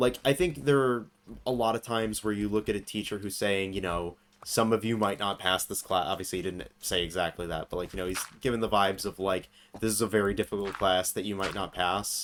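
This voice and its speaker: At a fairly quick pace, a man speaks with a fairly low pitch and ordinary pitch variation on a very clean recording with a silent background. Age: 20s. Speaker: streamer. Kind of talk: casual chat. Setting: live stream.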